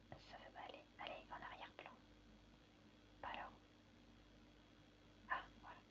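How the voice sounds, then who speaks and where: A woman whispers in a relaxed tone at a fairly slow pace. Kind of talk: ASMR crafting video, casual talk to camera. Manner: soft-spoken, relaxed.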